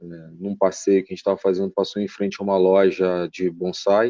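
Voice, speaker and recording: The dark, mellow tone sounds dry and close with no echo, and the intonation is flat and monotone. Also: man. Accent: strong Carioca. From Rio de Janeiro, Brazil. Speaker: bonsai enthusiast, engineer. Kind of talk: podcast interview.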